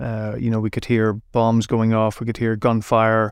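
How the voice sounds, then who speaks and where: On a very clean recording with a silent background, a man with a Derry accent speaks at a medium pitch and a moderate pace in a monotone, flat intonation. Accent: Northern Irish (Derry). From Northern Ireland, Derry. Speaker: journalist. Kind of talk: interview. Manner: halting, with repetitions.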